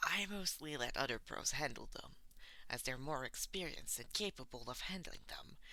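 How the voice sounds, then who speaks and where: A man's drawling, put-on character voice at a moderate pace. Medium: read story. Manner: bored drawl.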